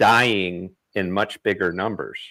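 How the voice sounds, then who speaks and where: Vocal fry runs through this man's voice. He talks at a fairly slow pace. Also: very clean recording, silent background. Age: 60s. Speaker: live stream host. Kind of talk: live stream political discussion. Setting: live stream.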